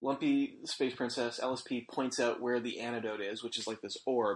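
A man with an unremarkable speaking voice, medium in pitch, at a moderate pace against a quiet background. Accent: Canadian. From Alberta, Canada. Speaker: podcast host. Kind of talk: casual chat.

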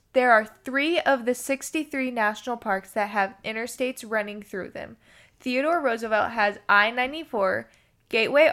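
On a very clean recording with a silent background, a woman speaks at a moderate pace in a bright, sharp tone with ordinary pitch variation. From Kentucky (Elizabethtown). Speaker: travel companion. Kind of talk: casual chat.

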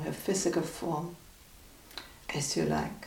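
The speaker uses a calm, soothing tone at a very slow pace, with noticeable background noise. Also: woman. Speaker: meditation guide. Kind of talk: guided meditation. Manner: calm, slow, soothing; gently instructive, with long pauses.

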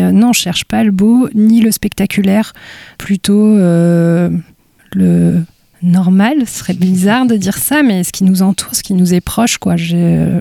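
Speaking very slowly, a woman uses a medium pitch, ordinary pitch variation and a dark, mellow tone. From Brittany, Côtes d'Armor. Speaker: photographer. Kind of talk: interview, casual conversation. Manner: reflective, hesitant with fillers.

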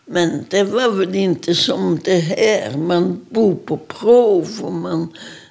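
A woman at a medium pitch with lively intonation and a very slow pace. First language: Polish (speaking Swedish). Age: 80s+. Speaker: Holocaust survivor. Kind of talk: testimony.

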